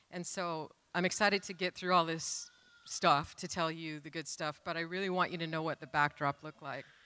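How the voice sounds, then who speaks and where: Speaking with an American accent, a woman uses a fairly low pitch and a bright, sharp tone, moving at a fairly quick pace in a flat monotone. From US Pacific Northwest (Renton, Washington). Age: 60s. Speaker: church member sharing testimony. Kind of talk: testimony. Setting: church stage.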